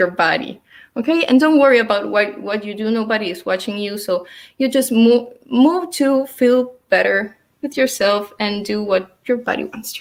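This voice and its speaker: This woman has an Uruguayan accent and a fairly high pitch. Her intonation is lively and her pace moderate. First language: Spanish. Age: 20s. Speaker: dance teacher. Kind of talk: online dance class instruction. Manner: halting.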